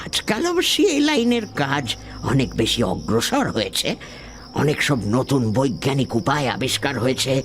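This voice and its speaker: A man uses a put-on character voice at a moderate pace. His loudness stays very even over clear background noise. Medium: audio drama. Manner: measured, genial, old-fashioned.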